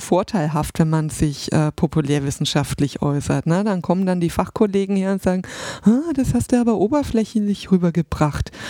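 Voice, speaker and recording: A woman at medium pitch talks at a moderate pace with lively intonation, the sound dry and close with no echo. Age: 40s. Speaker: social sciences podcaster. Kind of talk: casual interview. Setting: studio. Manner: hesitant, many fillers.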